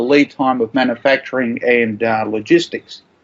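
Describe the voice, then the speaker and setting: A man speaks in an Australian accent at a moderate pace. His pitch variation is ordinary. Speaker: supply chain professional, army veteran. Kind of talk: interview answer. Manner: hesitant, many fillers.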